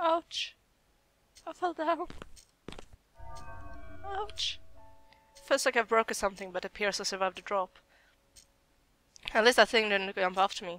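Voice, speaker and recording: Over music in the background, a woman speaks at a fairly high pitch with very wide pitch swings. Her pace is moderate, with long, frequent pauses. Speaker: let's player. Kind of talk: gaming commentary. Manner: screaming, panicked.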